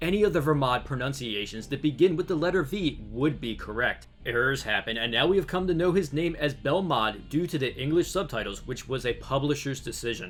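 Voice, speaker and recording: A man with an American accent talks at a fairly quick pace with hardly any pauses, music playing in the background. His fairly high voice has lively intonation. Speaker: YouTube anime theory narrator. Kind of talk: scripted narration.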